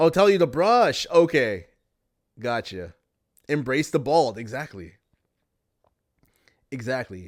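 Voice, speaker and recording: In a very clean recording with a silent background, a man at medium pitch uses very wide pitch swings and long, frequent pauses. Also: fairly slow pace. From Canada. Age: 30s. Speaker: podcast host and live streamer. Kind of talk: casual livestream podcast monologue reading chat. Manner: repetitive, conversational.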